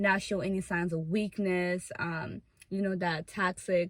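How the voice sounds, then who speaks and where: A woman speaks with a non-native accent. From Africa, came to US as refugee. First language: not English. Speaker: YouTuber. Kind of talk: casual chat. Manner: loud.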